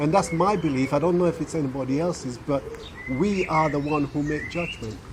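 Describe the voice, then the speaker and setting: The man talks fairly quickly in a fairly high pitch, his pitch varying in an ordinary way, while noticeable background noise sits underneath. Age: 60s. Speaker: hypnotherapist. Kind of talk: interview answer.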